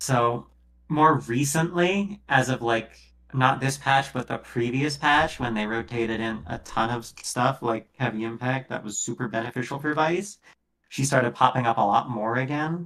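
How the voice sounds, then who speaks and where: A soft-spoken man at a moderate pace, medium in pitch, with a bright, sharp tone and ordinary pitch variation. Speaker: gaming coach streamer. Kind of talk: coaching session reviewing gameplay.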